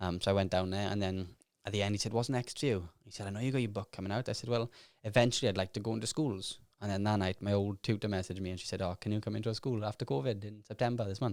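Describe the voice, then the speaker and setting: Very fast and fairly even in intonation, a man speaks at a fairly low pitch with a Welsh accent. The recording is very clean, with a silent background. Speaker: self-made millionaire and author. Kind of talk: podcast interview. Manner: mumbling.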